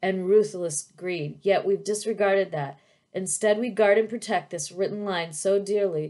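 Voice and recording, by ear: The speaker is reading aloud in a natural voice. Intonation stays fairly even.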